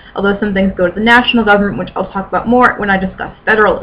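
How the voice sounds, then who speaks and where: A woman mumbles at a medium pitch. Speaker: amateur history vlogger. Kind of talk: informal educational vlog. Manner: fast; mumbling.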